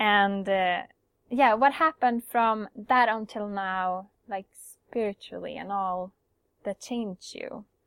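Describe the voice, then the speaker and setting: A woman with a Swedish accent speaks at a very slow pace, with big swings in loudness. The sound is dry and close with no echo, in a very clean recording with a silent background. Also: medium pitch for a woman, ordinary pitch variation. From Sweden. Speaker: podcast host. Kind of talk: interview. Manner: halting.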